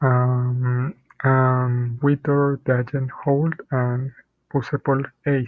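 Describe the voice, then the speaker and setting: The intonation is monotone and flat. The pace is very slow. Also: man, medium pitch for a man. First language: not English. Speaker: programmer. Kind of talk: tutorial. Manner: halting, many fillers and repeats.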